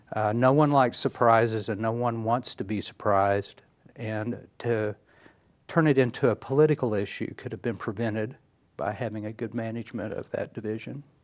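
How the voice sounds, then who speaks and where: A man with an American accent speaks at a moderate pace and a medium pitch, with fairly even intonation against a quiet background. He has an unremarkable speaking voice. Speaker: county judge candidate. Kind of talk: TV interview.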